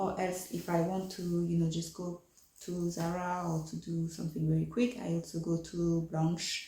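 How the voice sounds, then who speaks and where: A woman's fairly low, monotone, flat voice with a French accent at a moderate pace, over noticeable background noise. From France. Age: 30s. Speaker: fashion vlogger. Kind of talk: casual vlog chat. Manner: hesitant, many fillers.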